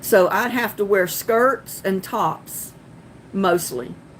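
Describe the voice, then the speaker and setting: This is a woman speaking at a medium pitch. Her pitch varies in an ordinary way. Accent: Southern. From North Carolina. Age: 40s. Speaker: gardening live streamer. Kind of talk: casual live stream chat. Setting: live stream on laptop. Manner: giggly.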